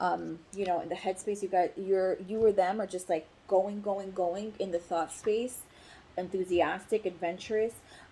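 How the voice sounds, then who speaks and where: A woman speaks in a dark, mellow tone at a medium pitch. Her pace is moderate and her intonation monotone and flat. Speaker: tarot reader. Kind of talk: tarot reading monologue. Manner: hesitant with fillers.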